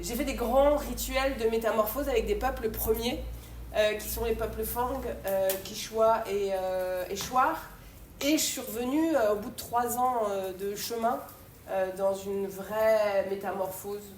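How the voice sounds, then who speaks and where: A woman with a fairly high pitch speaks at a fairly slow pace, with audible room echo and noticeable background noise. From France. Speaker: poet and theatre actress. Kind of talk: conference talk. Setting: university conference. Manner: loud; animated.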